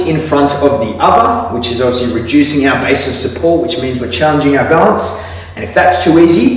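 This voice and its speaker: There is strong room echo around the man's voice. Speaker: physiotherapist instructor. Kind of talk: tutorial. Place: gym.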